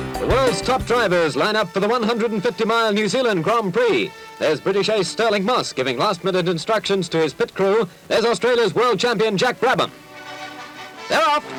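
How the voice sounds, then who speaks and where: With music in the background, a man with a high-pitched voice speaks fairly quickly in an upbeat, energetic tone, with ordinary pitch variation and very even loudness. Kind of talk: period newsreel narration.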